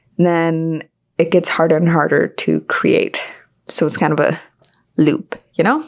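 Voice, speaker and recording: In a very clean recording with a silent background, a woman speaks at a fairly slow pace with long, frequent pauses and very even loudness. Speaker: creative podcaster. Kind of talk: solo podcast monologue. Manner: casual, rambling.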